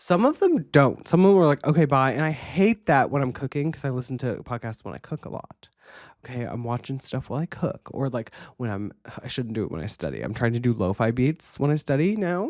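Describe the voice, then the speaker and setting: A woman's very deep, low-pitched voice, animated in tone with lively intonation at a fairly quick pace, in a dry, close sound with no echo and a very clean recording with a silent background. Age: young. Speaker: podcast host. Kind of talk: casual solo podcast monologue. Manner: stutter.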